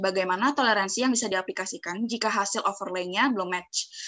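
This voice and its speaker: A woman talks at a very fast pace with ordinary pitch variation over a quiet background. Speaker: webinar moderator. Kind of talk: formal moderating. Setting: video call. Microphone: video call.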